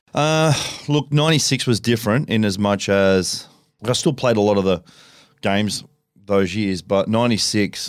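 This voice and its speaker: The speaker has an Australian accent and lively intonation. The pace is moderate. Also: man. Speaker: retired rugby league player and race driver. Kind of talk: casual chat.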